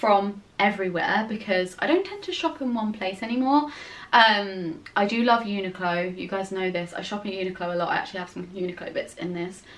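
Her pace is fairly quick. A woman talks with ordinary pitch variation. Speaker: fashion vlogger. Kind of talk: casual vlog chat. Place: home room.

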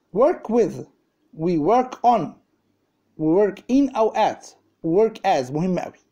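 Speaking very slowly over a quiet background, a man with an Egyptian accent uses a high pitch and dark, mellow tone with very wide pitch swings. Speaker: English teacher. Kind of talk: lecture. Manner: animated. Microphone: phone near.

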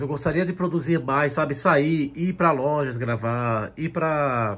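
A man's somewhat breathy, fairly high-pitched voice with ordinary pitch variation. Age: 30s. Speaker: manga YouTuber. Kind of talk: personal vlog. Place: home room. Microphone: phone near.

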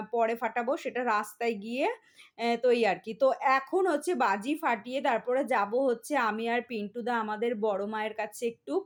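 An unremarkable speaking voice with ordinary pitch variation, in a very clean recording against a silent background. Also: woman, fairly high pitch for a woman. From West Bengal, India (Barasat). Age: middle-aged. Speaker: family vlogger. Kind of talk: casual vlog narration. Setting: at home and outdoors at a temple.

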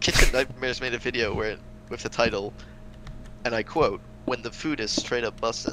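Against noticeable background noise, a man with a medium pitch and fairly even intonation talks at a fairly quick pace. His speech has long, frequent pauses. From Netherlands. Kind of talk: casual chat while gaming.

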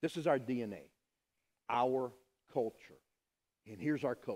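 A man speaks at a moderate pace. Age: 50s. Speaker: pastor. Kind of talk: sermon. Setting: church. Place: church.

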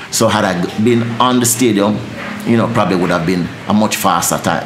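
With a Jamaican accent, a man speaks at a fairly low pitch with ordinary pitch variation over noticeable background noise. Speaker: dancehall deejay. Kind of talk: interview answer. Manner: fast-talking, energetic. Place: studio.

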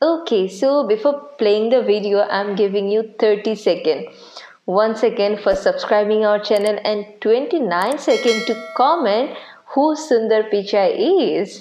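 A woman at a fairly slow pace with ordinary pitch variation, plus audible room echo and music in the background. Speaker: reaction video host. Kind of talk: reaction video commentary. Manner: cheerful, friendly. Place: home room.

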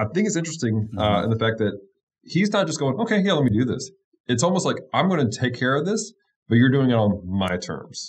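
A man's somewhat breathy voice at a very fast pace, very wide pitch swings, and long, frequent pauses. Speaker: pastor. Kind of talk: Bible study discussion. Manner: enthusiastic. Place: home room. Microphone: studio mic.

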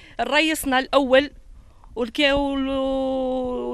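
The speaker has an Algerian accent. The sound is dry, with no echo. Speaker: local resident, parent. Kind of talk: street interview complaint. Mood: aggrieved, pleading. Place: street. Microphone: handheld.

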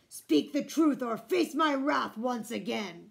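A woman growls in a gruff, put-on character voice, high-pitched with very wide pitch swings. Her pace is fairly slow. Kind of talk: storybook read-aloud. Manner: threatening, stern.

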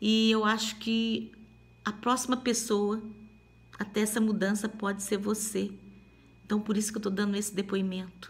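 A woman with a fairly high pitch and a somewhat breathy voice speaks at a moderate pace with very even loudness. Her intonation is monotone and flat, broken by long, frequent pauses. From Minas Gerais, Brazil. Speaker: testimony giver. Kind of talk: testimony. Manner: halting. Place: home room. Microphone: phone near.

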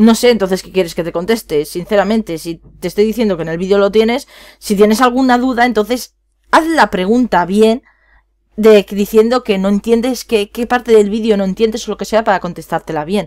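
A woman with a fairly high pitch speaks in an animated tone at a fairly quick pace, with ordinary pitch variation and big swings in loudness, her voice dry and close with no echo on a very clean recording with a silent background. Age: 20s. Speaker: gaming youtuber. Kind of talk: casual vlog talk to viewers. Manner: rambling, animated.

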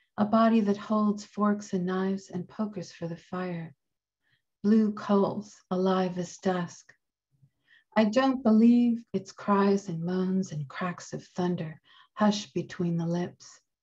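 A woman speaks at a very slow pace in a medium pitch with fairly even intonation. Her tone is dark and mellow, and somewhat breathy. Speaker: poet. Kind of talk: poetry reading.

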